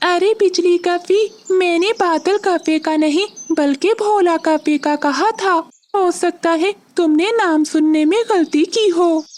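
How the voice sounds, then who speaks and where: A cartoonish character voice pitched extremely high. It moves at a fairly slow pace. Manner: casual, joking.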